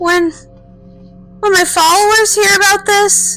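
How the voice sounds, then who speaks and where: In a put-on character voice, a female-sounding speaker talks fairly slowly at an extremely high pitch, with faint music in the background. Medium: audio drama. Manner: dramatic, whiny.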